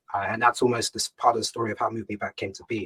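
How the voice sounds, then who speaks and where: Somewhat breathy, a man with a British accent speaks at a very fast pace in a dry, close sound with no echo. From England, UK (Ghanaian heritage). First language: Ga. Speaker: startup founder and CEO. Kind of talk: fireside chat interview. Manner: hesitant, many fillers and repetitions.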